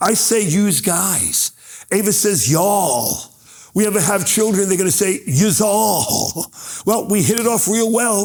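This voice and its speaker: With a New York accent, a man speaks fairly slowly in an animated tone at a high pitch. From New York, Brooklyn. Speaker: motivational speaker. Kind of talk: keynote speech.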